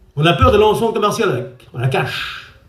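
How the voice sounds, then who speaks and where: With audible room echo around him, a man speaks with very wide pitch swings. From France, Traveller (Gitan) community. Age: 60s. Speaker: preacher. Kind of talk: sermon.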